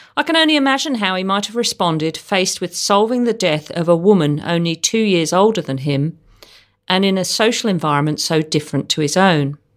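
In a very clean recording with a silent background, a woman with a medium-pitched, plain, everyday voice talks at a fairly quick pace with lively intonation. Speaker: podcast host. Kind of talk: true-crime narration. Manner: measured, clear, formal storytelling delivery.

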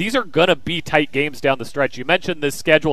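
A man speaks with an American accent. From Kansas. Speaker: sports radio host. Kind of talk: sports talk crosstalk. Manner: animated, conversational.

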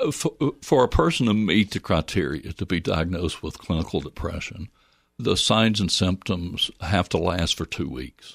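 In an American accent, a man with vocal fry and a very deep, low pitch speaks at a moderate pace with ordinary pitch variation, the sound dry and close with no echo. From US South, Northwest Georgia. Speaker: licensed mental health counselor. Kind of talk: interview. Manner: halting.

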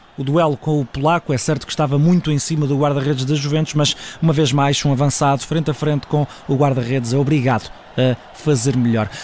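There is noticeable background noise. The speaker is a man. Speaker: sports journalist. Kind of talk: radio analysis; live commentary. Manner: fast.

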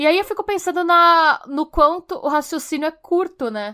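Very cleanly recorded against a silent background, a woman speaks at a moderate pace in a bright, sharp tone with lively intonation. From Brazil. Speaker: true crime podcast host. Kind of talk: true crime storytelling.

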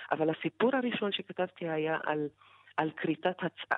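A woman speaks with an Arabic accent and ordinary pitch variation. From Negev Bedouin village, Israel. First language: Arabic (speaking Hebrew). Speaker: writer and poet. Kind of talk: interview.

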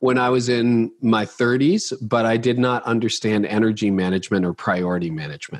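Using a plain, everyday voice, a man with a Canadian accent talks at a fairly quick pace and a medium pitch, with ordinary pitch variation and hardly any pauses. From Canada. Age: 50s. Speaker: pastor and leadership author. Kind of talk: interview.

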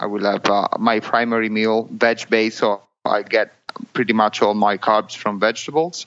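A man speaks with an Italian accent at a medium pitch. His pace is moderate. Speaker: amateur triathlete. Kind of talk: interview. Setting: remote call. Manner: halting.

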